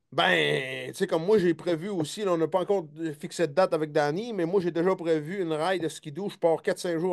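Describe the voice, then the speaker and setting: A man's fairly high voice in a Quebec accent, at a fairly quick pace over a quiet background. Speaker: hunting show host. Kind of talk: casual chat. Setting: live stream. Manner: fast; animated.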